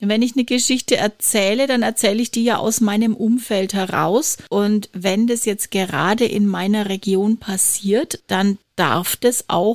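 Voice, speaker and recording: Recorded dry and close with no echo, a woman with a fairly high pitch speaks at a fairly slow pace with ordinary pitch variation. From Franconia, Germany. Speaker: podcast host and podcast trainer. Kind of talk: casual chat.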